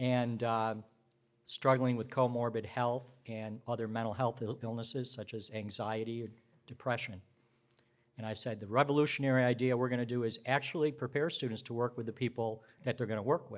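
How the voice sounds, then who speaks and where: A man speaks in a normal speaking voice, his medium pitch carrying fairly even intonation. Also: fairly quick pace. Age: 60s. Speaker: social work professor and dean. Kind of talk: conference talk. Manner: conversational, with fillers.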